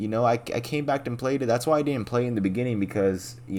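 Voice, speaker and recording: Here a man talks at a very fast pace. His intonation is lively. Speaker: gaming youtuber. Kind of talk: casual game commentary. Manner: casual, profane, filler-heavy.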